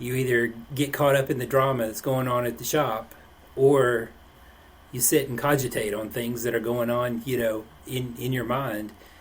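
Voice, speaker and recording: Over noticeable background noise, a man with an East Tennessee accent speaks at a moderate pace and a medium pitch. His intonation stays monotone and flat. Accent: East Tennessee Southern. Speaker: podcast host. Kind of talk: casual podcast interview.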